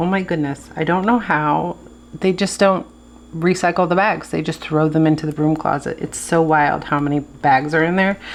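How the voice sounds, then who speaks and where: A woman with a plain, everyday voice speaks at a fairly low pitch, her intonation fairly even. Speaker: planner video creator. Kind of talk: casual tutorial.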